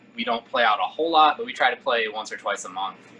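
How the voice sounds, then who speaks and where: Over noticeable background noise, a man talks at a medium pitch. His pitch shows ordinary variation. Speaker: singer and bassist in a rock band. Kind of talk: casual interview.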